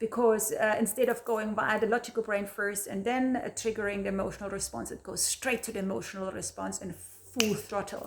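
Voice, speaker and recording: With a German accent, a woman talks fast with hardly any pauses, her fairly high pitch held in a monotone, flat intonation. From Germany. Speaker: video blogger. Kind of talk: casual talk to camera. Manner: halting, repeats words.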